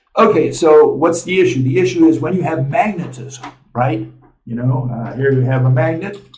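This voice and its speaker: A man's somewhat breathy, fairly high voice moves at a moderate pace with ordinary pitch variation. Audible room echo surrounds it. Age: 70s. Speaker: physics lecturer and channel host. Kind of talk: lecture. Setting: on the road, traveling. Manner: casual, with many fillers. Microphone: small camera mic, sound may be poor.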